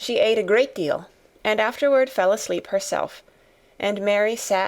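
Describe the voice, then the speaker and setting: A soft-spoken woman with a fairly high pitch and ordinary pitch variation talks at a moderate pace on a very clean recording with a silent background. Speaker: audiobook narrator. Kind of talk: audiobook reading of a classic novel.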